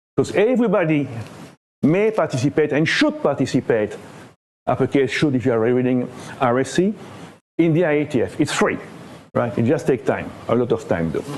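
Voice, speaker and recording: Speaking with a French accent, a man with a fairly high pitch talks at a fairly quick pace with lively intonation, very even loudness, and long, frequent pauses. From Belgium. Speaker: internet standards body area director, conference speaker. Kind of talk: conference talk. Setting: conference room with audience.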